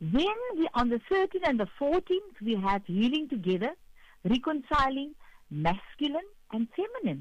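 A woman talks at a fairly slow pace in a high pitch. Her voice makes big pitch swings.

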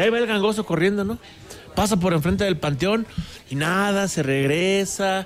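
Text read aloud in a natural voice

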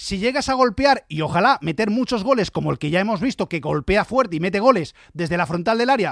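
On a very clean recording with a silent background and a dry, close sound with no echo, a man speaks at a fairly quick pace, high in pitch, with lively intonation, a fairly bright and dramatic tone, and vocal fry.

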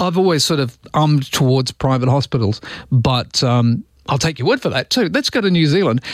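Lively intonation marks a man's speech at a moderate pace. His pitch is medium.

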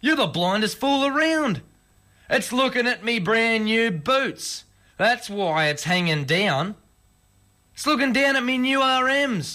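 A man's put-on character voice, extremely high in pitch, with a bright, sharp tone, lively intonation and a slow pace.

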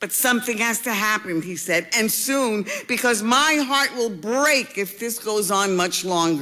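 The voice sounds natural. It is reading aloud.

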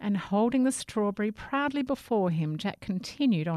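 Lively intonation from an unforced reading voice

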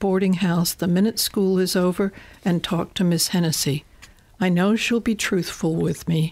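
Plain reading aloud with fairly even intonation.

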